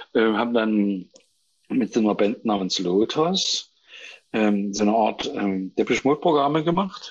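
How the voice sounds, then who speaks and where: A man's medium-pitched voice, very slow in pace, with lively intonation. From Saxony, Germany (near Chemnitz). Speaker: composer and stage actor. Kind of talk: casual chat. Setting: phone call. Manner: halting.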